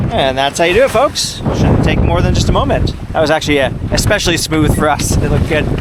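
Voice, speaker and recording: A man at a fairly high pitch, very fast pace, very even loudness, hardly any pauses and ordinary pitch variation, over noticeable background noise. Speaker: sailor and video creator. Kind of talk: vlog narration to camera.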